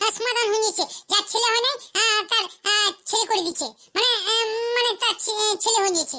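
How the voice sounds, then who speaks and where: A cartoonish character voice from a woman, squeaky and extremely high-pitched, at a fairly quick pace with fairly even intonation and very even loudness. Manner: hesitant, stammering with "aah".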